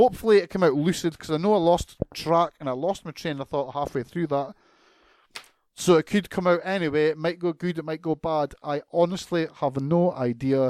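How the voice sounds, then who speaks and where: Speaking at a moderate pace, a man uses a fairly high pitch in a Scottish accent. The recording is very clean, with a silent background. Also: ordinary pitch variation, dry, close sound with no echo. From Scotland. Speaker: podcast host. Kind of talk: casual rant. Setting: home recording. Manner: animated.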